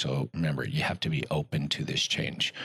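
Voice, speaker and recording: This man's voice has a bright, sharp tone. Vocal fry runs through it. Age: 40s. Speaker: physical therapist and practice owner. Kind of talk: casual chat.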